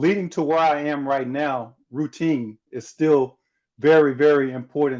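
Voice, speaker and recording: A normal speaking voice from a man, fairly high in pitch, with an American accent, fairly even intonation and a fairly slow pace against a quiet background. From US South. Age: 40s. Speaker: former pro basketball player and motivational speaker. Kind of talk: interview conversation.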